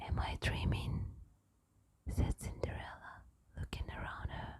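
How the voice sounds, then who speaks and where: A woman speaks in a whisper. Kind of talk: bedtime story reading. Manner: whispered.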